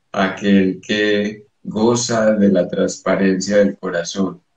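A man talks at a very slow pace in a fairly low voice with fairly even intonation. Room echo is audible, and the background is quiet. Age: 50s. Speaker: psychoanalyst and poet; psychoanalyst, poet. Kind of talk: interview. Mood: calm, spiritual explanation. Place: home room. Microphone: video call.

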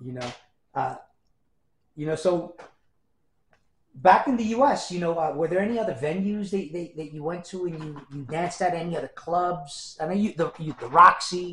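A man's high-pitched voice with a bright, sharp tone, ordinary pitch variation, big swings in loudness, a moderate pace and long, frequent pauses, plus audible room echo and light background noise. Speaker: research librarian and archivist, interviewer; interviewer. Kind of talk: interview questions.

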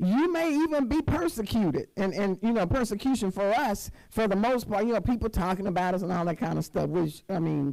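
Against a quiet background, a woman talks at a fairly quick pace with vocal fry and a dark, mellow tone. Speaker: church elder preaching. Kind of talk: sermon. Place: church. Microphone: handheld.

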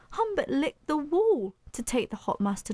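A woman's animated, theatrical tone at a moderate pace, dry and close with no echo. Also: very clean recording, silent background. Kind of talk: dramatic audiobook narration of a children's comic story. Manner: animated, theatrical, playful, with sound effects and character voices; builds suspense and comic timing with dramatic pauses.

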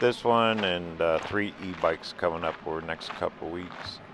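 This man's voice is very deep and low in pitch, heard dry with no echo over noticeable background noise. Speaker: RV travel vlogger. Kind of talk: casual vlog chat. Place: open country. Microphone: phone near.

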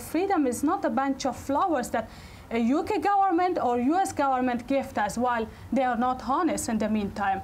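A woman with an Afghan accent, her pitch high and her intonation lively, at a moderate pace over light background noise. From Afghanistan. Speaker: politician and women's rights activist; politician. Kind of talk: public speech to an audience; talk answering audience. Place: hall.

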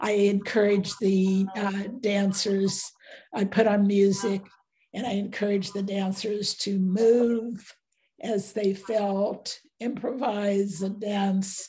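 A woman speaks very slowly in a medium-pitched, somewhat breathy voice with a dark, mellow tone and monotone, flat intonation. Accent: American. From United States. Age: 90s. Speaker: visual artist. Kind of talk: interview. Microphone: video call.

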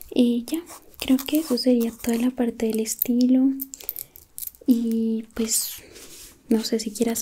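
Soft-spoken and dark, mellow in tone, a woman speaks at a very slow pace with flat, monotone intonation and long, frequent pauses over light background noise. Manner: soft close ASMR roleplay voice.

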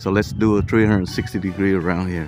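Faint music plays behind a dry voice with no echo. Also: man. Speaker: travel vlogger. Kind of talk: casual vlog commentary. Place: street.

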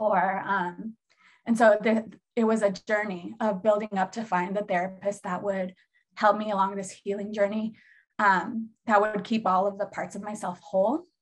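A woman with an American accent speaks at a moderate pace in a medium, somewhat breathy voice. Her intonation is monotone and flat, with long, frequent pauses. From Seattle, US Pacific Northwest. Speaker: therapist and healer. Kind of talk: casual chat.

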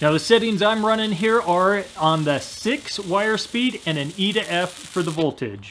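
At a fairly slow pace, a man speaks in a high pitch with a fairly bright tone. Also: lively intonation.

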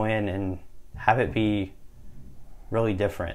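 A man talks at a fairly slow pace with a fairly low pitch. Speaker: college student podcast host. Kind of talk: casual chat. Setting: dorm room.

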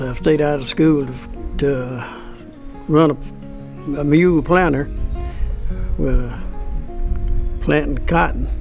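A man at a very slow pace with long, frequent pauses, faint music in the background. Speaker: farmer. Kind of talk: interview answer. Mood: calm, reminiscing. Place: farm.

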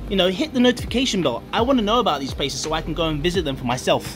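Clear music sounds behind the speaker. His delivery, a man's, races along very quickly. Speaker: travel vlogger. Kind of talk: casual vlog chat. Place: garden. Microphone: phone near.

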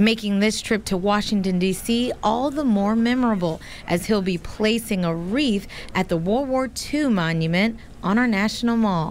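A woman with a normal speaking voice talks at a moderate pace, her pitch fairly high and her loudness very even. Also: ordinary pitch variation. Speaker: community reporter. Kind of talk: news package narration.

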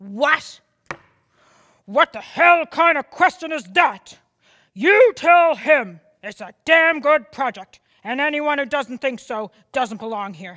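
Using a put-on character voice, a woman speaks high in pitch at a fairly slow pace, leaving long, frequent pauses. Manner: angry, shouting.

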